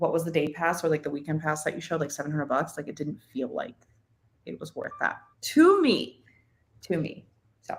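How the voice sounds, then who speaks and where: Speaking at a fairly quick pace, a woman leaves long, frequent pauses. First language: Spanish. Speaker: podcast guest. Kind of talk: casual chat.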